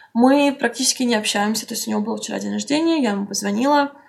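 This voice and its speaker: A somewhat breathy woman's voice, fairly high in pitch with ordinary pitch variation. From Russia, Saint Petersburg. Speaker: blogger. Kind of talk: interview.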